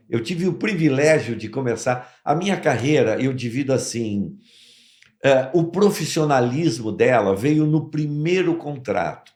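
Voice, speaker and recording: A man speaks at a fairly slow pace in a fairly high pitch with lively intonation. Audible room echo surrounds his voice. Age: 70s. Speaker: actor and voice actor. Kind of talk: interview. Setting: studio.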